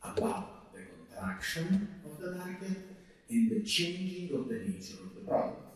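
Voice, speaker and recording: The speech moves at a fairly slow pace. Audible room echo and noticeable background noise are present. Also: man. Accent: Italian. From Italy, Rome. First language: Italian. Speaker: lecturer on technology and ethics. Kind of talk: lecture. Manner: halting.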